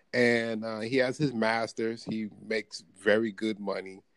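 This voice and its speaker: A man with an American accent on a very clean recording with a silent background. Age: 20s. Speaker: podcaster. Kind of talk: casual chat.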